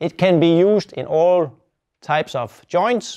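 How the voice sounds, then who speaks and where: Quiet setting, male voice, dark and mellow in tone. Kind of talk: product tutorial.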